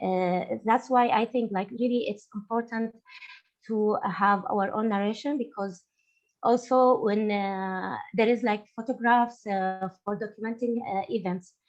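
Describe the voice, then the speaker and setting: At a fairly slow pace, a woman with an Arabic accent and a fairly high pitch speaks with fairly even intonation as music plays in the background. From Syria. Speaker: artist. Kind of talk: panel discussion. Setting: webinar. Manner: halting, many fillers.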